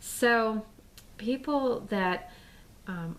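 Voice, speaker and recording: In an American accent, a woman is talking. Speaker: political vlogger. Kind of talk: casual vlog monologue. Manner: halting, many fillers and repeats.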